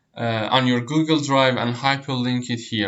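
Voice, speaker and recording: Someone speaks with a Persian accent at a fairly slow pace. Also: man. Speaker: online tutor. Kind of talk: tutorial. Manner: hesitant, many fillers and repeats.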